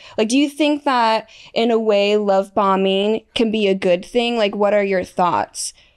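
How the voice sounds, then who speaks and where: The speaker talks at a fairly slow pace with ordinary pitch variation and very even loudness. The background is quiet. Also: woman, fairly high pitch for a woman. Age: 20s. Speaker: podcast host. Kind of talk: casual chat. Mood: relaxed, conversational. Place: studio. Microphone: studio mic.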